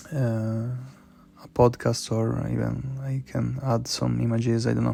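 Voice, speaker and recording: A man with a non-native accent talks at a fairly slow pace. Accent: non-native English, noticeable. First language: not English. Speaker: podcaster. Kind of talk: personal monologue. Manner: halting, many repetitions and fillers.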